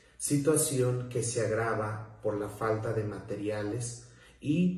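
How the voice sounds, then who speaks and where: A man talks with fairly even intonation, and audible room echo follows his words. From Mexico, southern Veracruz (Soteapan). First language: Nuntajɨɨyi (Zoque-Popoluca) (speaking Spanish). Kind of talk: prepared talk. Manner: formal.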